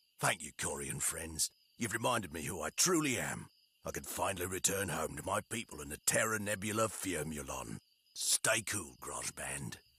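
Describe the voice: A man performs a cartoonish character voice. His pitch is very deep and low. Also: moderate pace.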